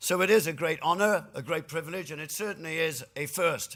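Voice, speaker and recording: Lively intonation and a bright, sharp tone mark this man's moderate-paced speech on a very clean recording with a silent background. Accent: Welsh. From Wales (Cardiff). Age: 60s. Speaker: trade union leader. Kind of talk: lecture.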